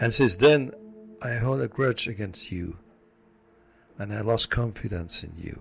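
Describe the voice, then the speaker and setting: Over music in the background, a man speaks at a very slow pace with a non-native accent. His pitch is fairly low, with ordinary variation. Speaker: motivational speaker. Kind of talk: inspirational story talk to camera.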